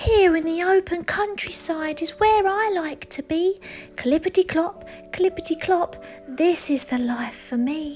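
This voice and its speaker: Someone speaks fairly slowly in a put-on character voice. Clear music sounds in the background. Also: woman. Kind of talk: bedtime story. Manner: goofy, contented.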